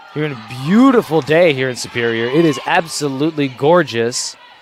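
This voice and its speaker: Noticeable background noise sits behind a man with an American accent. He has a fairly high pitch and a moderate pace. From Wisconsin. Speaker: play-by-play broadcaster. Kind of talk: live sports commentary. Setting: gym broadcast. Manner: loud.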